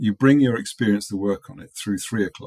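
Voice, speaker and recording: In an English accent, a man speaks at a moderate pace and a fairly low pitch with ordinary pitch variation, in a dry, close sound with no echo. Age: 70s. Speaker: product designer. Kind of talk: interview.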